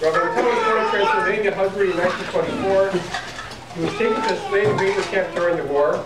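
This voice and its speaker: A man talks at a fairly quick pace with audible room echo and loud background noise. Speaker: rabbi and father of the baby. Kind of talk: religious speech at a family ceremony. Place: hall. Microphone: camera far.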